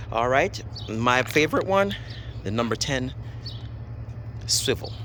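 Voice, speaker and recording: There is noticeable background noise. Over it, a man talks with a Jamaican accent. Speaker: DIY car repair demonstrator. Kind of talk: tutorial. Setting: outdoors. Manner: casual, halting.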